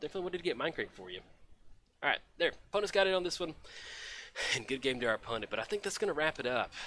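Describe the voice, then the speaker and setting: Speaking at a very fast pace, a man with an American accent has a bright, sharp tone, vocal fry and very wide pitch swings. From Texas, Dallas. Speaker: game streamer. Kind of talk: casual live stream commentary. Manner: casual, filler-heavy.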